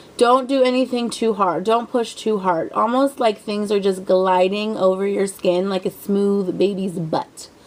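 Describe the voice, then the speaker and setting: Over noticeable background noise, a woman talks at a fairly slow pace and medium pitch. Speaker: beauty vlogger. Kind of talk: tutorial. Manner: casual, rambling with fillers.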